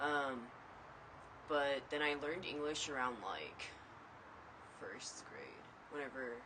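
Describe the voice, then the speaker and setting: A man with an American accent speaks at a very slow pace and fairly even intonation, with long, frequent pauses, noticeable background noise and audible room echo. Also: fairly high pitch for a man. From USA, moved from abroad age 3 or 4. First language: Mandarin Chinese. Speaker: student. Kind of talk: casual interview testimony.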